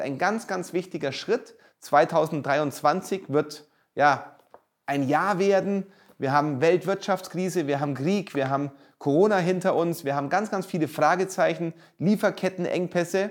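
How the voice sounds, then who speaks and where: Fairly slow delivery comes with pitch that varies in an ordinary way. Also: man. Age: 40s. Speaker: real estate entrepreneur and author. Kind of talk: promotional monologue.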